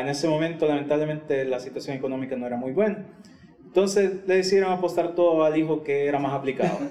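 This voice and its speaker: A man with a fairly high pitch is heard over noticeable background noise, with audible echo in the room. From El Salvador. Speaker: podcast co-host. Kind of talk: casual chat.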